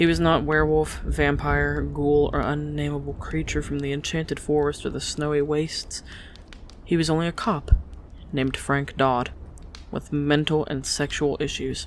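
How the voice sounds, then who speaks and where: Speech runs at a moderate pace. Background noise is noticeable. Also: woman. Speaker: audiobook narrator. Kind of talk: audiobook sample reading.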